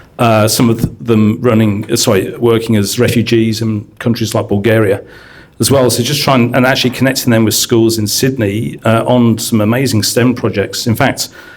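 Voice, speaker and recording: A man with an English accent talks at a moderate pace and medium pitch, with fairly even intonation and very even loudness. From UK. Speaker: science education consultant and teacher. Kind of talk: panel discussion introduction.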